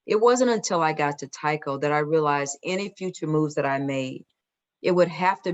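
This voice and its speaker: In a Southern US accent, a woman speaks with a very deep, low voice. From US South, Atlanta. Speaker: corporate diversity executive. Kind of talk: Q&A talk.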